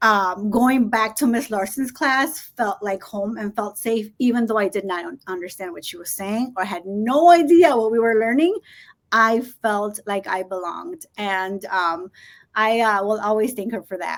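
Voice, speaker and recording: The intonation is lively, with big swings in loudness. The speaker has a Spanish accent. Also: woman, fairly high pitch for a woman, moderate pace, very clean recording, silent background. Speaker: school administrator. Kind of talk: interview.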